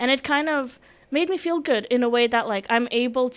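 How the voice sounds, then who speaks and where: With a non-native accent, a woman speaks at a high pitch with ordinary pitch variation. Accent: foreign. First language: Russian. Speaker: security and emergency management specialist. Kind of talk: podcast interview.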